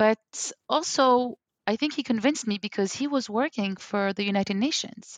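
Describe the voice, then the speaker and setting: Recorded with a dry, close sound and no echo, a woman speaks at a moderate pace and fairly high pitch with a French accent. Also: ordinary pitch variation. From Algeria, raised in London, West Africa and New York. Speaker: language coach. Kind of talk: interview conversation.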